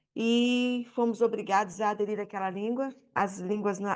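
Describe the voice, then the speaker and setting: Fairly high female voice, intonation fairly even. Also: quiet background. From Brazil. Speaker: audience member at panel debate. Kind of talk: public debate contribution. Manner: halting, many repetitions.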